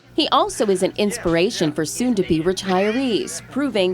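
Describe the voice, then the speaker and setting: With music in the background, the speaker talks at a moderate pace. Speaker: TV news reporter. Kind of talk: TV news narration.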